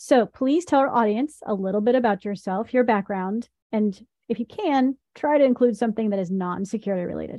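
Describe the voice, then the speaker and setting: A woman with an American accent and an unremarkable speaking voice, fairly high-pitched, at a fairly quick pace with ordinary pitch variation. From US South, Tennessee. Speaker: podcast host, company co-founder. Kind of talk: scripted intro; interview.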